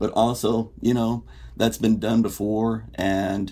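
With an American accent, a man speaks in a fairly low pitch with a dark, mellow tone, vocal fry, and ordinary pitch variation. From Indiana, US Midwest. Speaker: writer. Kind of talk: podcast discussion.

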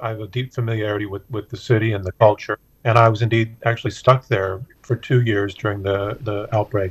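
A man's fairly low, somewhat breathy voice with an American accent, a fairly quick pace, monotone, flat intonation and a dry, close sound with no echo. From US South, Memphis. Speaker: politics professor. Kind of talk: panel discussion. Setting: studio.

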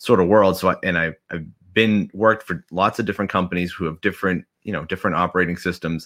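A man's very deep, low voice with a bright, sharp tone at a very fast pace, on a very clean recording with a silent background. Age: 40s. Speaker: nurse turned marketing agency owner. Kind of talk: interview.

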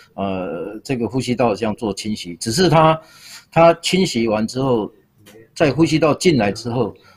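Lively intonation marks this somewhat breathy voice. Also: man. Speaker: public health professor. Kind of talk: expert interview.

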